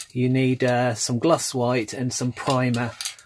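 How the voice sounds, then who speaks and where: At a fairly slow pace, the voice comes through over light background noise. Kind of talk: tutorial. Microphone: phone near.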